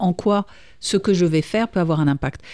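A woman speaks at a fairly quick pace in a dark, mellow tone. The recording is very clean, with a silent background. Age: 50s. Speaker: radio host and professional coach. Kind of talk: coaching radio show.

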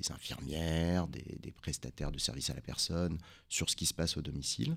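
Speech at a moderate pace with vocal fry running through it. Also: man. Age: 40s. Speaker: emergency doctor and company founder. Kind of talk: radio interview.

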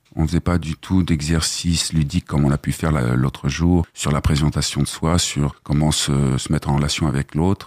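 This man talks at a fairly quick pace in a monotone, flat intonation. His pitch is very deep and low. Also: very even loudness, dry, close sound with no echo. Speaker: trainee, former actor. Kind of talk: radio interview. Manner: slightly hesitant.

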